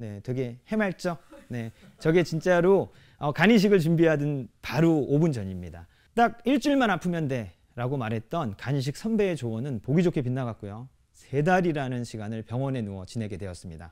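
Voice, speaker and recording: At a moderate pace, a man with a fairly high pitch speaks with very wide pitch swings and big swings in loudness against a quiet background. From South Korea. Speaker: restaurant business owner. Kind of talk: prepared talk to audience. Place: stage. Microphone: lapel.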